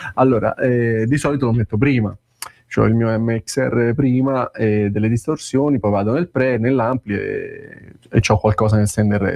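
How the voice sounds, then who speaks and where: Speaking fairly slowly, a man keeps a medium pitch. His intonation stays fairly even. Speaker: guitarist asking questions. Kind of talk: casual chat.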